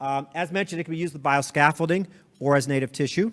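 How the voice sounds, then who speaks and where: A man at a very fast pace with ordinary pitch variation, in a very clean recording with a silent background. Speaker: surgeon presenting at a medical conference. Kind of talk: conference lecture. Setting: conference stage with audience.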